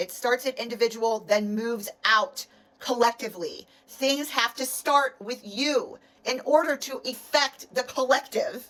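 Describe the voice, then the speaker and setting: A woman's high voice in a passionate, animated tone at a fairly slow pace. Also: ordinary pitch variation. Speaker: energy practitioner. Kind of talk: motivational monologue. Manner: passionate, forceful.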